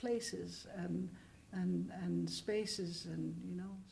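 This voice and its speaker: Room echo is audible as a woman talks. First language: not English. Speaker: composer, author and filmmaker. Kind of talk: interview. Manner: halting.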